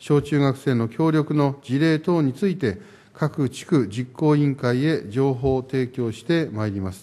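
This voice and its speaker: The man's pitch is fairly high, with ordinary variation. His pace is moderate. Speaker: mayor. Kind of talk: formal council answer. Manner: formal. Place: hall. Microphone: podium.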